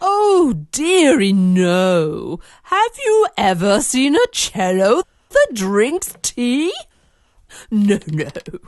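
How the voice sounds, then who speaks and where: A put-on character voice, female-sounding and high in pitch, delivers its lines at a very slow pace. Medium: audio drama. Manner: gentle, grandmotherly.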